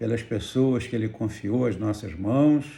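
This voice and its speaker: A man's dark, mellow tone at a fairly slow pace. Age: 70s. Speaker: pastor. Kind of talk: testimony.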